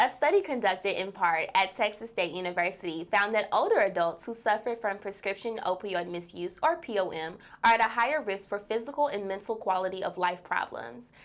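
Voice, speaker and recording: The speaker has a plain, everyday voice with lively intonation. The delivery is fairly quick, with hardly any pauses. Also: woman, medium pitch for a woman. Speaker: news anchor. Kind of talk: TV news anchor read.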